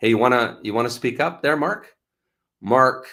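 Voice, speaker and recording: On a very clean recording with a silent background, a man with a Canadian accent speaks in a bright, sharp tone. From Canada. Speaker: channel host, dating scam investigator. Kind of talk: live stream chat. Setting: live stream. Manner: hesitant, filler-heavy.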